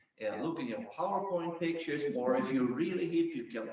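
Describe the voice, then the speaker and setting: There is noticeable background noise and audible room echo. A man with a Swedish accent talks at a moderate pace with ordinary pitch variation. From Sweden. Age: 60s. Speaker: business founder and ski coach. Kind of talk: panel discussion.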